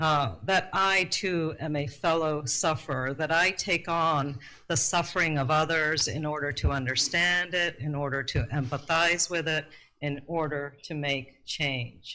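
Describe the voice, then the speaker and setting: On a very clean recording with a silent background, a woman with a very deep, low pitch and a bright, sharp tone speaks at a fairly slow pace with ordinary pitch variation. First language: Urdu. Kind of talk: prepared talk at a workshop.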